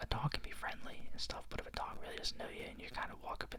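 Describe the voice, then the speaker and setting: Whispering at a fairly quick speed, the man is accompanied by noticeable background noise. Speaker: ASMR creator who also works a field job in towns. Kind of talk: casual talk to camera, whisper ramble update. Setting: home recording with a microphone.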